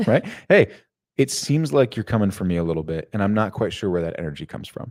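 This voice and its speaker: Talking very fast, a man uses a fairly low voice with lively intonation. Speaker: workplace culture coach. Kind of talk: live stream Q&A discussion. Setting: live stream. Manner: wordy, lengthy.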